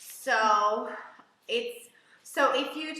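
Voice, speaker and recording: An animated tone with ordinary pitch variation comes through audible room echo and noticeable background noise. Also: woman. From Hungary. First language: Hungarian. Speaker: English teacher. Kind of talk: live online lesson.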